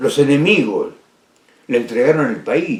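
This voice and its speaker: With a Rioplatense accent, a man speaks slowly-ish, at a fairly slow pace, his pitch fairly high. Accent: Argentine Spanish (rioplatense). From Argentina. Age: 80s+. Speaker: political speaker and author. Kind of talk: personal monologue talk. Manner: halting with repetitions.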